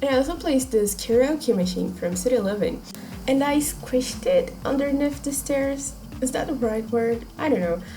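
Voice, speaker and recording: Over background music and audible room echo, a woman with a non-native accent speaks at a moderate pace in a high voice with ordinary pitch variation. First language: not English. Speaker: video game YouTuber. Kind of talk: voiceover commentary on a speed build. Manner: halting, searching for words.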